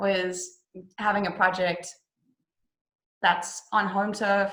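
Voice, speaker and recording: A woman speaks with a South African accent. Her intonation is monotone and flat. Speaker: actress. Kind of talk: interview. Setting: video call.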